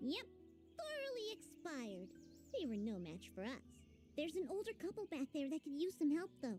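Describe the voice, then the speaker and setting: A female-sounding put-on character voice, high in pitch, at a moderate pace with long, frequent pauses over clear music in the background. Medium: video game. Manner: chirpy, fast.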